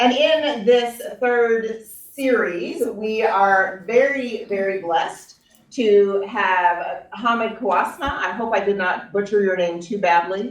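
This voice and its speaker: This woman talks at a very slow pace in an American accent, her fairly high voice moving with ordinary pitch variation and hardly any pauses. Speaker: pastor. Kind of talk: introduction at a church talk.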